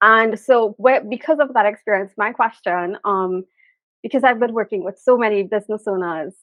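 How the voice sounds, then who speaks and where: A woman with a Trinidadian accent speaks at a fairly high pitch and moderate pace, with ordinary pitch variation. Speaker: business content creator. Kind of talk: interview question.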